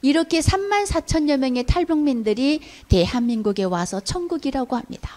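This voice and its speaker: Her voice high in pitch, a woman moves at a moderate pace through very wide pitch swings in a dark, mellow tone. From North Korea. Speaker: North Korean defector lecturer. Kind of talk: public lecture.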